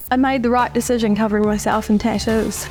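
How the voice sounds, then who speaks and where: Fairly high female voice, background music playing behind it. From Manchester, England. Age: 20s. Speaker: heavily tattooed woman. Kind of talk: documentary interview answer.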